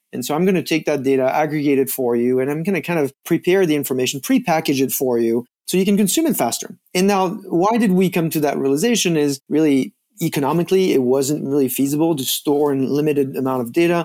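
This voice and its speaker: In a French accent, a man talks at a very fast pace with hardly any pauses, his fairly high pitch varying in an ordinary way and his tone dark and mellow. The recording is very clean, with a silent background. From France. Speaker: data and analytics executive. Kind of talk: interview.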